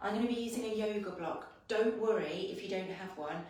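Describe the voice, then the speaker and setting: Amid noticeable background noise and audible room echo, a woman talks at a fairly high pitch with ordinary pitch variation. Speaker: fitness instructor. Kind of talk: workout class instruction. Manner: soft-spoken; casual.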